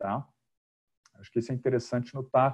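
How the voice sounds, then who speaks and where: Against a quiet background, a man speaks with a dark, mellow, somewhat breathy tone. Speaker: project management trainer. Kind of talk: webinar presentation.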